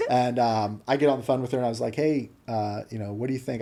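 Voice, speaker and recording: A man with a Midwestern American accent talks at a very fast pace in a dark, mellow tone. His pitch sits in the medium range and his intonation stays fairly even. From US Midwest, small-town Ohio. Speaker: business owner. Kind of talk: casual interview chat.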